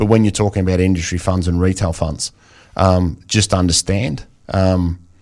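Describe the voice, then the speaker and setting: A man's very deep, low voice with an Australian accent and flat, monotone intonation. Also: moderate pace. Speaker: financial planner. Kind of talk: radio interview. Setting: radio studio.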